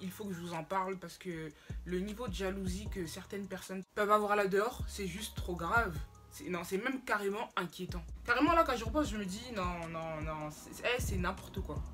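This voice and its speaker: Music plays behind a woman speaking at a moderate pace. Her loudness swings widely. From Cameroon. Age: young. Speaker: YouTuber. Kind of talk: casual storytime talk to camera. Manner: lively, slangy.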